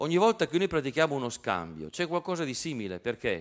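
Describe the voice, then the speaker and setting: Against a quiet background, a man with a fairly high voice swings very widely in pitch. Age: 50s. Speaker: professor. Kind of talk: lecture. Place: hall. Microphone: handheld.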